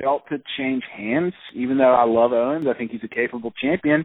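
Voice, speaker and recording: Talking at a fairly quick pace, a man of medium pitch uses an ordinary speaking voice with ordinary pitch variation. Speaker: podcast co-host. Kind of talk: casual chat.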